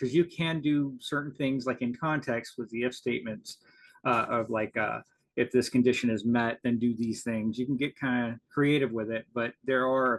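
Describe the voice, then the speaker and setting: A man speaks at a moderate pace with fairly even intonation, his pitch medium for a man. The sound is dry and close with no echo, and he has an unremarkable speaking voice. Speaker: conference presenter. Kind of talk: conference presentation. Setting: video call.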